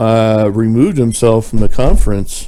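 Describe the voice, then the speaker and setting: A man talks at a medium pitch in a dark, mellow tone. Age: 60s. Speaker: ministry video presenter. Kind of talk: online commentary video. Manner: hesitant, many fillers.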